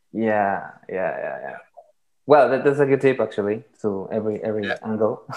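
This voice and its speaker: A man with a Latin American accent speaks at a fairly quick pace, his loudness swinging widely. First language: Spanish. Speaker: podcast host. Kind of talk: casual interview. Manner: halting.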